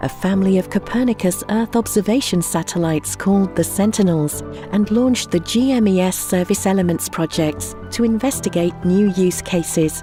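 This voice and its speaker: A woman at medium pitch talks at a moderate pace with hardly any pauses, very even loudness and ordinary pitch variation, music playing in the background. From UK. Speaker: voice actor. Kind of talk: corporate narration.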